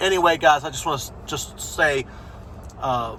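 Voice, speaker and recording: A speaker with an American accent is heard over noticeable background noise. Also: man. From USA. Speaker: football fan channel host. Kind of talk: opinion vlog, season review. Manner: casual, many fillers.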